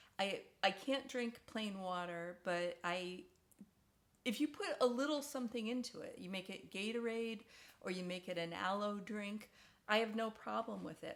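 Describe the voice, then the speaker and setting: A woman with an ordinary speaking voice talks at a moderate pace and a fairly high pitch, with ordinary pitch variation. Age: 60s. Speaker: video diarist, stomach cancer survivor. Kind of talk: casual personal vlog. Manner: conversational with frequent fillers and repetitions.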